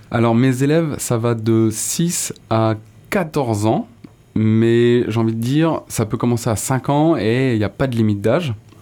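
A man's medium-pitched voice has a dark, mellow tone. He speaks fairly slowly at a very even loudness. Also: ordinary pitch variation. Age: 30s. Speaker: BMX rider and musician. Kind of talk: casual interview.

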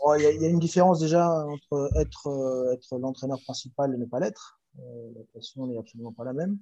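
A man talks at a medium pitch in a dark, mellow tone. He leaves hardly any pauses, and his loudness swings widely. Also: ordinary pitch variation, moderate pace. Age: 40s. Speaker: handball coach and former pro player. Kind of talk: interview. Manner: hesitant, many fillers and repetitions.

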